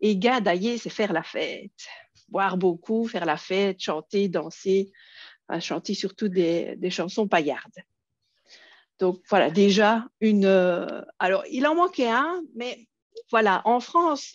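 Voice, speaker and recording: With a Belgian accent, a woman speaks very slowly at a medium pitch, her intonation lively, pausing long and often against a quiet background. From Belgium. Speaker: educational technology trainer. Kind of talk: conference workshop presentation. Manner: hesitant, many fillers.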